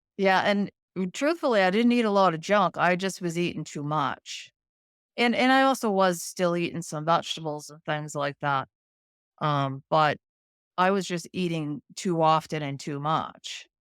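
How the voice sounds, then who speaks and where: With a plain, everyday voice, a woman at a fairly low pitch speaks at a moderate pace with lively intonation, in a dry, close sound with no echo. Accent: American. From Boston, Massachusetts. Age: 50s. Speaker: lab technician. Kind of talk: interview.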